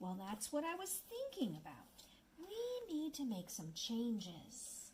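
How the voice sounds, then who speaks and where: A cartoonish character voice, female-sounding and high in pitch, speaks at a fairly slow pace. Clear background noise runs underneath. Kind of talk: children's puppet show.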